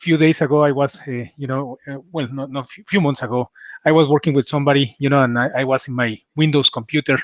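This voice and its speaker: A man speaks with a strong Mexican accent at a fairly high pitch. His pace is fairly quick and his intonation fairly even. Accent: heavy Mexican Spanish. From Mexico City. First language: Spanish. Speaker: cybersecurity executive. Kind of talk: interview.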